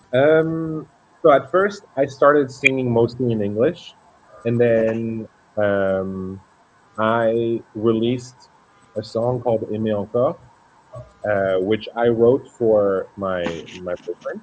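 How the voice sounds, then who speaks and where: A man with a French accent, medium pitch and ordinary pitch variation, at a very slow pace with long, frequent pauses, over music in the background. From Luxembourg. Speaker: singer. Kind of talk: interview.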